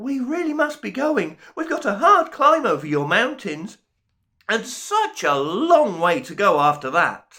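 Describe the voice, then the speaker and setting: A man puts on a squeaky character voice at an extremely high pitch. He speaks fairly slowly with very wide pitch swings. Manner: nervous, polite.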